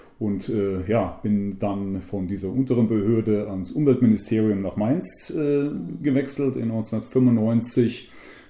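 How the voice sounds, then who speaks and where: Very slow and fairly low-pitched, a man's voice carries a dark, mellow tone with ordinary pitch variation. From central Hesse, Germany. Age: 60s. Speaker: conservationist. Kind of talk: interview.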